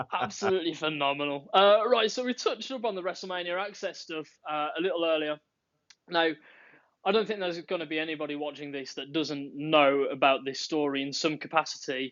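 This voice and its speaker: Fairly high in pitch, a man with a Birmingham accent talks at a fairly quick pace with ordinary pitch variation. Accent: Birmingham twang. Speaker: podcast host. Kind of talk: casual chat.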